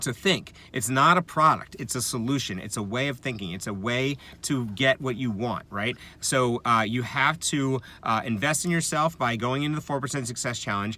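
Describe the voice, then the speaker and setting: This man speaks at a medium pitch with ordinary pitch variation and a bright, sharp tone. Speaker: affiliate marketing vlogger. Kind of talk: tutorial. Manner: fast; halting, many fillers.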